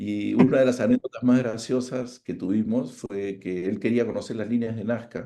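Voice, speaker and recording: The voice moves at a moderate pace with hardly any pauses. Its tone is dark and mellow, its intonation fairly even. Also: man, medium pitch for a man. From Peru. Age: 60s. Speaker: orthodontist. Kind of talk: interview conversation. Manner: halting, repeats words.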